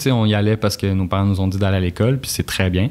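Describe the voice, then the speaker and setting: A man speaks at a fairly low pitch. His intonation stays fairly even. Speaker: university student. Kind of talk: casual podcast chat. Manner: relaxed, conversational with filler words.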